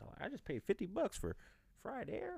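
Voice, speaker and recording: A man with an animated tone at a moderate pace, on a very clean recording with a silent background. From Texas. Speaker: podcast host. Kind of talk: casual monologue.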